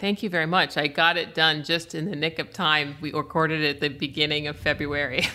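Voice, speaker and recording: With a very deep, low voice, a woman talks at a fairly quick pace with hardly any pauses. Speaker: comedian. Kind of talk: casual chat.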